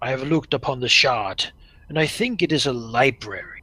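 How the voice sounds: Putting on a gravelly character voice, a man speaks at a fairly quick pace with medium pitch and ordinary pitch variation.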